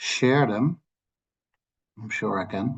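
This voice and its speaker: A man with a Dutch accent speaks at a very slow pace. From Netherlands. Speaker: land policy expert. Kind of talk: lecture. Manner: halting.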